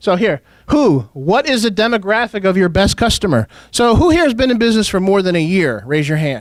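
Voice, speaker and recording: This man's voice is high, with very wide pitch swings and an animated tone. He talks very fast at a very even loudness. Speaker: marketing specialist giving a seminar. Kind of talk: seminar talk to a live audience. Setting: seminar room with audience. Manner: animated, interactive with audience.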